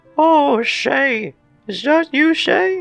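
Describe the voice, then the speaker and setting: A man's put-on character voice, extremely high in pitch, with faint music in the background. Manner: happy, warm, greeting.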